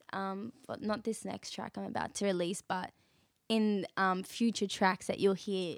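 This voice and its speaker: Speaking in an Australian accent, a woman talks at a fairly slow pace. Her pitch is medium, and the sound is dry and close with no echo. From Western Sydney, Australia. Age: 20s. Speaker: singer-songwriter. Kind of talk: casual interview chat.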